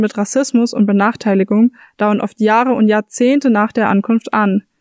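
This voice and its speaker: This is an ordinary speaking voice with fairly even intonation at a moderate pace. The sound is dry and close, with no echo. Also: woman. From Frankfurt. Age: 20s. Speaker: student, podcast host. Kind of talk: scripted narration.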